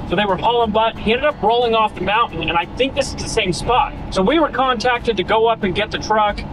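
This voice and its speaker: A man talks at a very fast pace. The recording is dry with no echo but has noticeable background noise. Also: ordinary pitch variation. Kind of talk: casual vlog chat. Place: car. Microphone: phone near.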